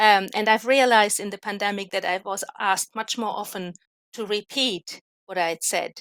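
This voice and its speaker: A woman with a non-native accent talks at a moderate pace and medium pitch, with fairly even intonation and a dry, close sound with no echo. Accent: noticeable non-native. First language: not English. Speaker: academic expert in languages. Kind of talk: live online panel discussion.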